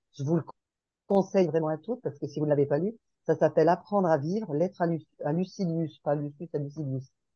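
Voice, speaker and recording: Very deep and low, a woman's dark, mellow voice runs at a very fast pace with ordinary pitch variation. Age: 60s. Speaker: podcast group participant. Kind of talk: casual group discussion.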